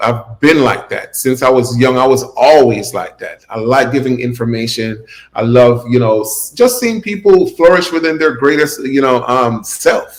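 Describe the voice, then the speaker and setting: An unremarkable speaking voice from a man with an American accent, medium in pitch with ordinary pitch variation, at a moderate pace with hardly any pauses. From South Florida, Opa-locka, Jamaican family. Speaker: YouTuber and gig-economy entrepreneur. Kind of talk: podcast interview.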